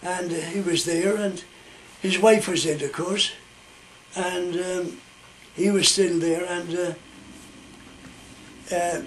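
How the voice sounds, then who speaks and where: Against noticeable background noise, a high-pitched man in a west of Ireland accent speaks at a very slow pace in a monotone, flat intonation with long, frequent pauses. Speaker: storyteller. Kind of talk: oral storytelling.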